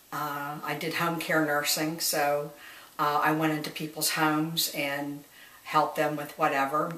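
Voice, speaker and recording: Noticeable background noise accompanies a speaker with an American accent talking at a fairly slow pace. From US Midwest, Dayton, Ohio. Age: 60s. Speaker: retired nurse. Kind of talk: oral history interview. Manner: halting, many fillers.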